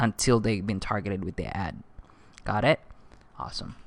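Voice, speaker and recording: A man's fairly low-pitched voice with a non-native accent, bright, sharp and upbeat in tone, over a quiet background. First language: not English. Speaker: online marketing instructor. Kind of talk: tutorial. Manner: casual, upbeat.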